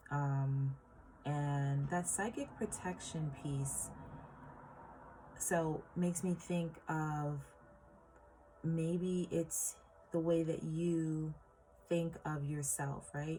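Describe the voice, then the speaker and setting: With music in the background, a woman speaks at a very slow pace in a very deep, low pitch with fairly even intonation and long, frequent pauses. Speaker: tarot reader. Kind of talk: tarot reading for viewers. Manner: hesitant, many fillers.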